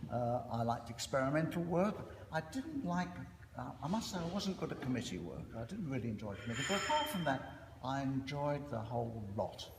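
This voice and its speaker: Amid noticeable background noise and audible room echo, a man talks at a fairly quick pace with very wide pitch swings. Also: medium pitch for a man. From East End of London. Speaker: surgeon and professor. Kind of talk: after-dinner speech. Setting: reunion dinner with audience. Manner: hesitant, many fillers.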